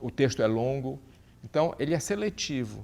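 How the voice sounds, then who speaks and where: A man talks with lively intonation. His pitch is medium, and the very clean recording has a silent background. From Brazil, Pará (Santarém). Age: 60s. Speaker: journalist. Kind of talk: interview. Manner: halting, many repetitions.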